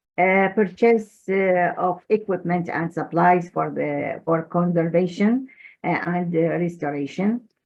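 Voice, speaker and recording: At a fairly slow pace, a woman talks in a fairly low voice with ordinary pitch variation. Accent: Arabic. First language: Arabic. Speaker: manuscripts expert. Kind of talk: presentation. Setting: video call. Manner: halting, many fillers.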